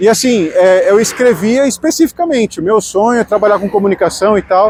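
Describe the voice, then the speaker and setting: Speech at a moderate pace with a Brazilian accent. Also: man. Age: 30s. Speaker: radio announcer and vlogger. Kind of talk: personal vlog monologue. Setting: outdoors on the street. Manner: casual, with some false starts.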